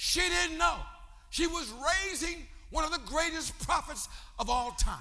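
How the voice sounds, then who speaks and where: Raising and projecting his voice at an extremely high pitch, a man speaks in an animated tone with lively intonation at a moderate pace, taking long, frequent pauses amid noticeable background noise. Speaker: bishop preacher. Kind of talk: sermon, preacher in full flow with call-and-response. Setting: church with congregation. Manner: animated, exhorting the congregation; rhythmic, fervent, crowd-rousing.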